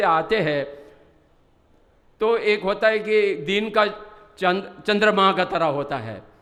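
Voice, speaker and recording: Here a man speaks with lively intonation. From Ladakh, India. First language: Bodhi (Ladakhi/Tibetan) (speaking Hindi). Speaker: Buddhist religious teacher. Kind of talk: conference speech. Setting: stage with audience.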